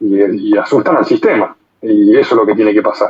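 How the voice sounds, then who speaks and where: A man is speaking. His pace is moderate. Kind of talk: casual discussion. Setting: online audio room.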